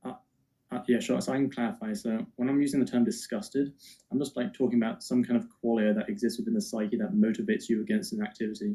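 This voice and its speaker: A man's medium-pitched voice with a dark, mellow tone and an English accent, very fast, with very wide pitch swings. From England. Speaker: atheist debater. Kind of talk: heated debate.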